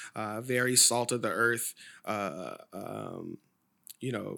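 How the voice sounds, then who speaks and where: Through a very clean recording with a silent background, a man with an American accent talks at a medium pitch with vocal fry, a bright, sharp tone and fairly even intonation. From Sacramento, California. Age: 30s. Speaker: wine educator. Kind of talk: casual chat.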